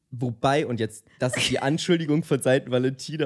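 An ordinary speaking voice from a man, medium in pitch, at a moderate pace with ordinary pitch variation. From Germany, Munich. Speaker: podcast co-host. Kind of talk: casual chat. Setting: studio.

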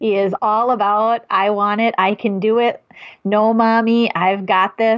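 Fairly slow and monotone, a woman with a fairly high pitch and an Upper Midwest accent keeps her loudness very even. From Wisconsin, US. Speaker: diabetes educator. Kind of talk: casual conversation.

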